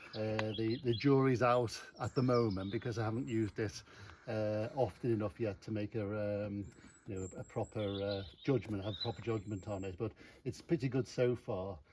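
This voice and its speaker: At a moderate pace and medium pitch, this man talks with ordinary pitch variation. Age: 60s. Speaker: motorcycle owner. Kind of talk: casual chat. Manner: halting.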